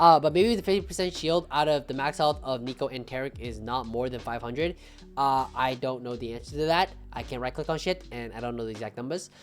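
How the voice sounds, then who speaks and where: Someone talks at a very fast pace with an American accent. Music plays in the background. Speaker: game streamer and strategy commentator. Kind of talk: recorded gameplay review commentary. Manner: casual, rambling with many fillers.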